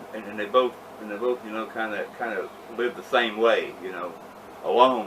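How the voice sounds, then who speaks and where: Loudness swings widely as speech moves at a fairly quick pace. Noticeable background noise runs underneath. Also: man, medium pitch for a man, fairly even intonation. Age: 60s. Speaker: wrestling podcast co-host. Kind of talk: casual chat. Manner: halting, repetitive.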